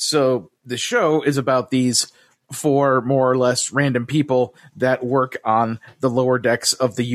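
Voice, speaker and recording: A man speaks at a medium pitch with an American accent. His intonation stays monotone and flat. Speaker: podcast host. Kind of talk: casual chat. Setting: video call.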